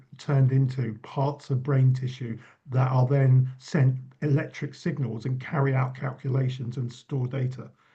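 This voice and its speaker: With an English accent, a man talks at a moderate pace and medium pitch, somewhat breathy and dark, mellow in tone. His intonation is monotone and flat. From England. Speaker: university lecturer and author. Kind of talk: panel discussion.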